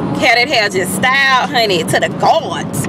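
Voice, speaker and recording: Over noticeable background noise, a woman uses a raised, projected voice at a moderate pace, with a dry sound and no echo. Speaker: beauty vlogger. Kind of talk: casual vlog chat. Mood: chatty, amused. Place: car. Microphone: phone near.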